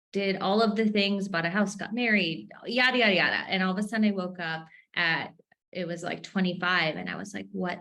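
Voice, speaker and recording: A woman's tone comes across bright and sharp, with an American accent. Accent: Minnesota accent, usually muted. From Minnesota. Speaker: entrepreneur. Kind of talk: podcast interview. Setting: home office. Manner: animated.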